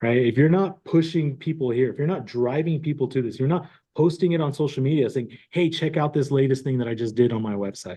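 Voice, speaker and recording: A man talks in a plain, everyday voice at a fairly quick pace with hardly any pauses. His pitch is fairly high, with ordinary variation. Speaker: real estate tech trainer. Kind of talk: tutorial. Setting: online class recording.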